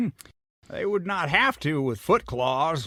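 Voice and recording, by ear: In a put-on character voice, a man speaks slowly at a fairly high pitch with big pitch swings and a bright, sharp tone, in a very clean recording with a silent background.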